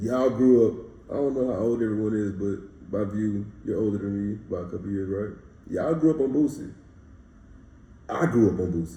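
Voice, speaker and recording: Fairly low in pitch, a man with a Louisiana accent speaks at a fairly quick pace in a dark, mellow, somewhat breathy tone, with ordinary pitch variation and audible room echo. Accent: US South, Louisiana. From Louisiana, Baton Rouge. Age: 20s. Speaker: rapper. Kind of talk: casual interview.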